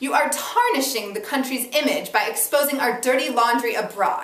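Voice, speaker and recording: A woman's high-pitched voice at a moderate pace, with ordinary pitch variation and noticeable background noise. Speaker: actor. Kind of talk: dramatic reading of a first-person monologue.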